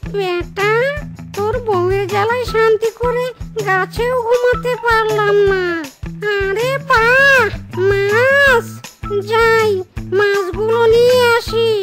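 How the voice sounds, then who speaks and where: A squeaky, cartoonish character voice moves at a very slow pace while clear music plays in the background. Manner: muttering asides to itself.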